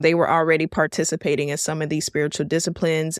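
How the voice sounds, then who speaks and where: A woman with an American accent uses a normal speaking voice at a fairly low pitch and fairly quick pace, on a very clean recording with a silent background and a dry, close sound with no echo. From Miami, Florida. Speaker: podcast host. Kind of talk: casual teaching talk.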